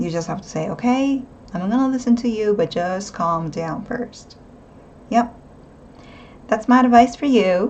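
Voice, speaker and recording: Her pace is moderate and her pitch fairly high. This woman speaks with lively intonation. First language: not English. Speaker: tarot reader. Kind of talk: tarot reading monologue. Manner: casual, hesitant with fillers.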